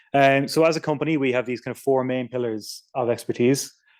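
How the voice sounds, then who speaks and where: A man talks at a fairly quick pace with an Irish accent. His intonation is fairly even on a very clean recording with a silent background. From Ireland. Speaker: software engineer. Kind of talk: technical talk. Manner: fast; casual, many fillers.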